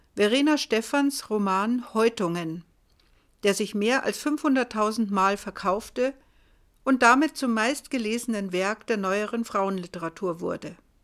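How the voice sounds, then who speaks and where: A woman with a plain, everyday voice speaks fairly slowly in a fairly high pitch with ordinary pitch variation. The recording is very clean with a silent background. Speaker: podcast host. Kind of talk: scripted narration.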